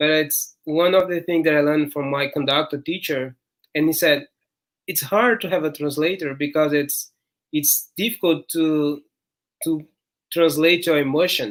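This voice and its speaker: The speaker talks at a moderate pace. The accent is Portuguese. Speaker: podcast host and interpreter. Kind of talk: interview.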